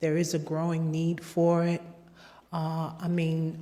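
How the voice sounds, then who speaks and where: A soft-spoken woman with a fairly low pitch, very slow pace and monotone, flat intonation. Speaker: public commenter. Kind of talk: public comment. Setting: public meeting, board room. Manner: halting. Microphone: too far from mic at first.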